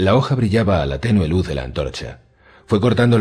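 A natural reading voice carries lively intonation.

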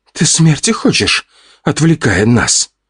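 A man puts on a character voice, speaking at a fairly high pitch and a fairly slow pace. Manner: growling, angry.

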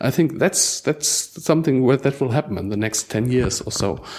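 This is a man talking. He speaks with a German accent. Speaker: digital library organizer. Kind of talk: roundtable discussion. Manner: halting, repeats words.

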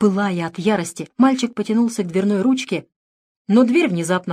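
The background stays quiet during this plain reading aloud.

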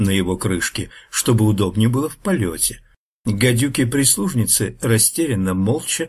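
Lively intonation marks this unforced reading voice, set against a quiet background.

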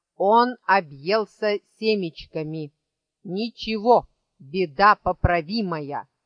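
Ordinary pitch variation in an unforced reading voice, with a quiet background behind it

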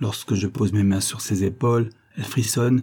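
This is reading aloud in a natural voice. The intonation stays fairly even.

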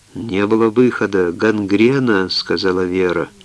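A natural voice reading aloud, its pitch moving an ordinary amount

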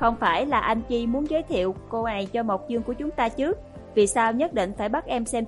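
Simply a passage read aloud, plainly.

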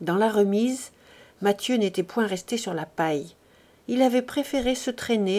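The clip consists of plain reading aloud.

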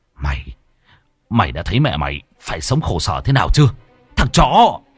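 A man shouts in a put-on character voice, low-pitched with a slightly husky edge. He keeps a moderate pace while his pitch swings very widely.

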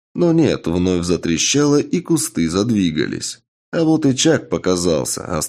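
An unforced reading voice is heard, with only quiet in the background.

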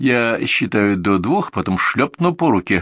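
This is an unforced reading voice. It reads without strain.

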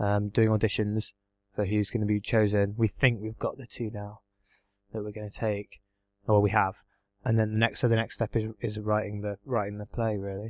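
In an English accent, the speaker talks at a moderate pace with flat, monotone intonation and big swings in loudness, captured in a very clean, dry, close recording with no echo and a silent background. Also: man, fairly low pitch for a man. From England. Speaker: exchange student. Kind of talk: casual chat.

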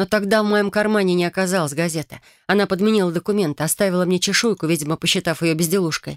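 Someone does plain reading aloud here.

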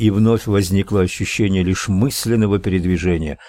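The reading voice sounds unforced, and the intonation stays fairly even.

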